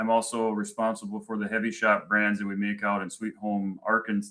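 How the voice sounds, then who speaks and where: A man's bright, sharp voice with a strong Minnesotan accent. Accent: thick Minnesota. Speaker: manufacturing executive and army veteran. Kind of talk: presentation. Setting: virtual event. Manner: halting, many fillers.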